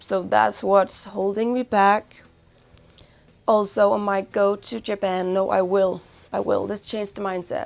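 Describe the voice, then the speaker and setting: A mumbling woman's voice at medium pitch, fairly slow and monotone in intonation. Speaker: fashion and lifestyle vlogger, band member. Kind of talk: casual vlog, gift guide. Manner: rambling, casual, some mumbling.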